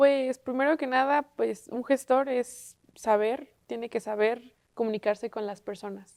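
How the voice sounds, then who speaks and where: In a very clean recording with a silent background and a dry, close sound with no echo, a woman speaks at a fairly slow pace with hardly any pauses, a high pitch and fairly even intonation. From Mexico, Puebla. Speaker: university student. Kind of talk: panel discussion on TV.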